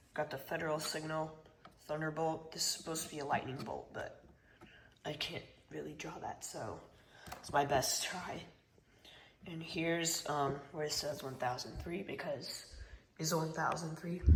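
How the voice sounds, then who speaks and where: The pace is moderate, broken by long, frequent pauses. Noticeable background noise runs underneath. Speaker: hobbyist YouTuber. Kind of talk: casual show-and-tell video.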